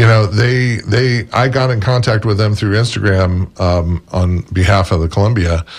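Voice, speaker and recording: A man with an American accent, somewhat breathy, at a fairly low pitch and moderate pace, with ordinary pitch variation, very even loudness and hardly any pauses. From Florida, St. Petersburg. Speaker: restaurant representative and book author. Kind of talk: radio interview.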